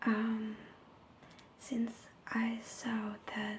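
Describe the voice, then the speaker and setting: A soft-spoken woman talks in a monotone, flat intonation at a fairly high pitch, with noticeable background noise behind her. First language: Italian. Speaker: ASMR creator. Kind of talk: ASMR story reading. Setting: home recording without a microphone.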